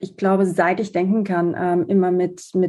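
Here a woman talks at a medium pitch. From southern Germany. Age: 30s. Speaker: fashion designer. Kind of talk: podcast interview.

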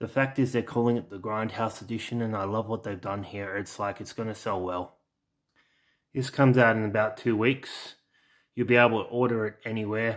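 Fairly quick and monotone with flat intonation, a man with an Australian accent speaks at a medium pitch on a very clean recording with a silent background. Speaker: home video collector and YouTuber. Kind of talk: casual product showcase video. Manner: halting, with many fillers.

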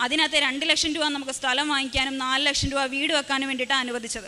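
A woman speaks in a high, raised and projected voice with fairly even intonation. Noticeable background noise runs underneath. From Kerala, Kottayam. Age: 20s. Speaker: testimony giver at a church. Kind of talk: testimony.

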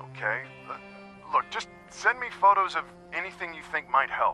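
Over faint music in the background, a man puts on a character voice, fairly high and bright with a sharp tone, big pitch swings and a moderate pace.

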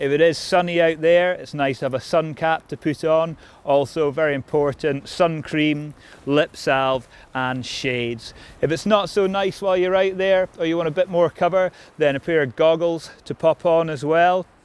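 The sound is dry, with no echo. A man talks at a moderate pace with ordinary pitch variation. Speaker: outdoor instructor. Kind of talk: tutorial. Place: open country.

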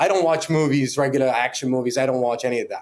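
With a Middle Eastern accent, a man speaks at a fairly high pitch with ordinary pitch variation. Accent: Middle Eastern-accented Canadian English. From Middle East, moved to Canada. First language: not English (Middle Eastern language). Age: 30s. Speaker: fightwear brand founder. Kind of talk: casual chat. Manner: animated. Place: home room.

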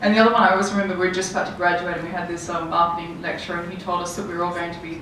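A woman talks in a flat, monotone way, with audible echo in the room and light noise behind her. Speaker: panelist. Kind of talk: panel discussion answer. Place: hall.

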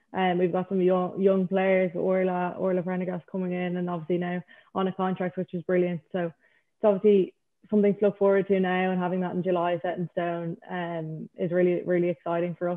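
Someone with an Irish accent speaks fairly quickly in a monotone, flat intonation over a quiet background. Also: woman. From Ireland. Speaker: international cricketer. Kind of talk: panel Q&A interview. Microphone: video call.

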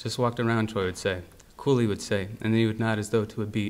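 At a fairly quick pace, a man is speaking. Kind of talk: literary reading. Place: hall. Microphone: podium.

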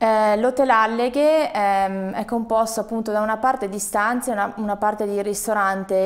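A woman's fairly high-pitched, an ordinary speaking voice at a fairly quick pace with fairly even intonation. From Veneto. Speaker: hotelier; interviewee. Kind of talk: interview. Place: studio. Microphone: lapel.

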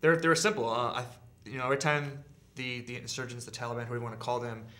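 A man talks in a General American accent with a bright, sharp tone. His intonation is fairly even. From Southern California. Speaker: army veteran. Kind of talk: interview answer. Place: studio.

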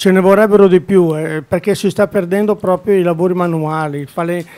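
A man with fairly even intonation. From Milan, Italy. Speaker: blacksmith business owner and town band president. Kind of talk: casual interview chat. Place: studio. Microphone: studio mic.

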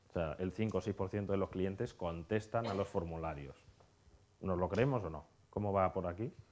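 Talking at a moderate pace, a man uses a very deep, low pitch with ordinary pitch variation. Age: 30s. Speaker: conference speaker on hotel marketing. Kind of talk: conference talk.

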